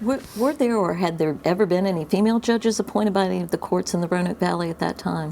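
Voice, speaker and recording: A woman talks at a very fast pace with hardly any pauses, her pitch medium. Noticeable background noise runs under her voice. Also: ordinary pitch variation. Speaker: attorney. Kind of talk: oral history interviewer.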